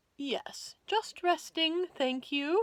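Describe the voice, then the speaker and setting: A woman uses a put-on character voice pitched extremely high. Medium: read story. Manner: stiffly polite.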